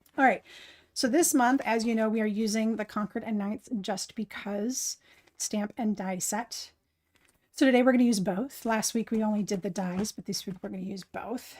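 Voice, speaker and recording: A woman speaks at a moderate pace in a fairly high, somewhat breathy voice with ordinary pitch variation. The recording is very clean, with a silent background. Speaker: craft live streamer. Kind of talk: live stream tutorial. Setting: live stream. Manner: animated.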